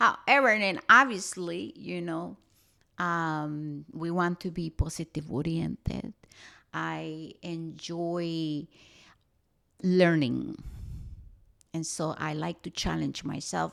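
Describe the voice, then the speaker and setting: In a very clean recording with a silent background, a woman with a strong Costa Rican accent speaks very slowly at a fairly low pitch in a bright, sharp tone, with long, frequent pauses and big swings in loudness. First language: Spanish. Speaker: spiritual podcast host. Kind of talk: podcast monologue.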